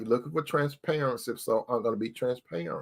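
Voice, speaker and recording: A man speaks in a bright, sharp tone. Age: 60s. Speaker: relationship advice talk show host. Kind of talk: casual monologue. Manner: conversational, repetitive.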